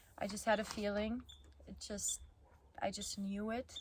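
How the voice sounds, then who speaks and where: A woman talks in a fairly high, somewhat breathy voice. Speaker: vlogger. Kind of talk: personal vlog recap. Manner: casual, with fillers.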